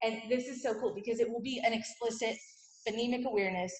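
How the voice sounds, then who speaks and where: Somewhat breathy, a woman talks at a fairly high pitch with ordinary pitch variation, and audible room echo surrounds her. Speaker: teacher. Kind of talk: presentation to parents. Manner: fast; animated.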